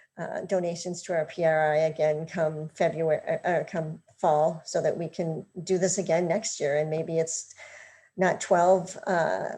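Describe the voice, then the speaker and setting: Against a quiet background, a woman speaks with a fairly low pitch and a dark, mellow tone. Her voice is somewhat breathy and her intonation monotone and flat. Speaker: housing nonprofit presenter. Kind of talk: panel presentation. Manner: fast.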